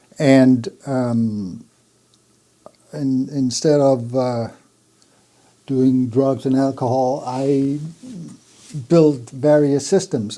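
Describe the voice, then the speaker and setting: With a Danish accent, the speaker moves at a very slow pace and keeps the intonation fairly even. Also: man. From Jutland, Denmark. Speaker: audio equipment designer, company founder. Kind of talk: interview. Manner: hesitant, with fillers and restarts.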